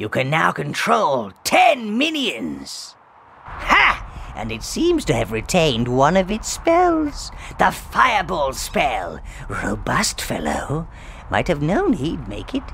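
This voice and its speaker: Speaking at a fairly slow pace, a man adopts a put-on character voice. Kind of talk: comic villainy. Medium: video game. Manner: fawning, fussy.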